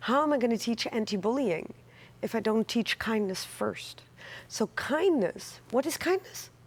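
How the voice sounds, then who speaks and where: Speaking fairly slowly with a Dutch accent, the voice swings very widely in pitch over a very clean recording with a silent background. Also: woman, fairly high pitch for a woman. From Netherlands. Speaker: author and anti-bullying advocate. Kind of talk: TV interview.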